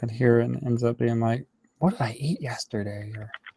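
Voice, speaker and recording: The speaker mumbles at a fairly quick pace. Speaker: animator streaming his work. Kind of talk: casual live-stream commentary while working. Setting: live online stream. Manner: mumbling to himself.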